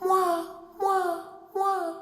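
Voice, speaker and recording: A man puts on a squeaky character voice at an extremely high pitch. His intonation stays monotone and flat. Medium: read story. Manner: repeats phrases three times.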